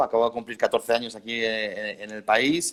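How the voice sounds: The speaker talks at a fairly quick pace with a Spanish accent. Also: man. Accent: Peninsular Spanish.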